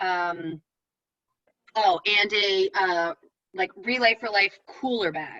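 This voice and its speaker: At a medium pitch, a woman's voice has a bright, sharp tone in a dry, close sound with no echo. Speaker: event organizer. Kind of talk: online meeting briefing. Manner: fast.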